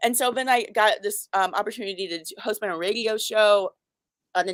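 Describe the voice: A woman's fairly quick, medium-pitched speech with a fairly bright tone, fairly even intonation, and a dry, close sound with no echo.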